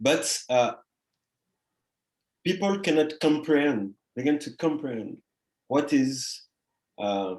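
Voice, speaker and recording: The speaker has a French Caribbean accent and a very slow pace. Pitch variation is ordinary. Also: man. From Guadeloupe, French Caribbean. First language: French / Creole. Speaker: artist. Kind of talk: interview conversation. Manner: halting, many fillers.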